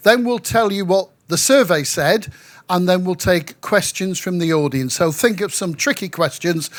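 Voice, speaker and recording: A man with a northern English accent speaks at a moderate pace, his pitch high and his intonation lively. The recording is very clean, with a silent background. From northwest England, Manchester. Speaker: local councillor, panel chair. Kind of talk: panel discussion moderation. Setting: pavilion at event with audience.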